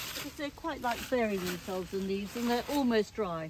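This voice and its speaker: A woman talks at a moderate pace with very wide pitch swings. There is noticeable background noise and audible room echo. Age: 80s+. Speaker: gardener. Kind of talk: garden demonstration. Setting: outdoors.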